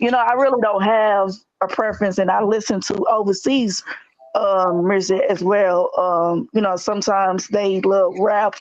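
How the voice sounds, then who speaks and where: A woman speaks in a St. Louis accent. Her intonation stays fairly even. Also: medium pitch for a woman, moderate pace, very even loudness. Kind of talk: casual chat.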